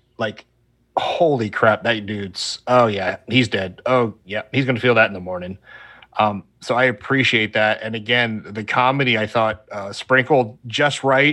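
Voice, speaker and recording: At a fairly slow pace, a man speaks with a bright, sharp tone, medium pitch and fairly even intonation in a very clean recording with a silent background. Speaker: podcast guest, film fan. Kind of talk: casual chat.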